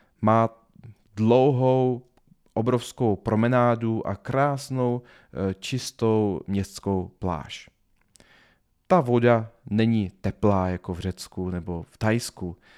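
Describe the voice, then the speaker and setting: Speaking at a very slow pace with long, frequent pauses, a man uses ordinary pitch variation in a very clean recording with a silent background and a dry, close sound with no echo. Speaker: podcast host and business trainer. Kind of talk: solo podcast monologue. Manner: halting, stumbling over words. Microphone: new high-quality podcast microphone.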